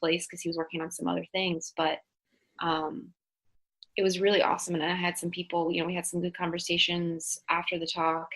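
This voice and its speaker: A woman with a fairly low pitch speaks with fairly even intonation. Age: late 20s. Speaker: physical therapist. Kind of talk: casual interview chat. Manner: halting, many fillers.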